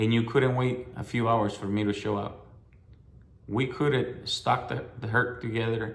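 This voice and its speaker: A somewhat breathy man with a fairly low pitch and fairly even intonation speaks at a moderate pace amid audible room echo. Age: 60s. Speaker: hunter. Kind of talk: personal testimony. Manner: halting, with fillers and repetitions.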